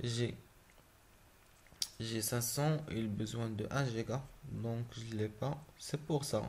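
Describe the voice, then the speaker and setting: At a very slow pace, a man speaks with a medium pitch in a somewhat breathy voice. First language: not French (speaking French). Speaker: gaming YouTuber. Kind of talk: tutorial. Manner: halting.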